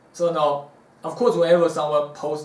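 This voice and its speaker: A man talks at a moderate pace with audible room echo. Noticeable background noise sits behind him. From South Africa. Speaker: martial arts teacher. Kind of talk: Q&A talk to camera. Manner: casual, hesitant fillers.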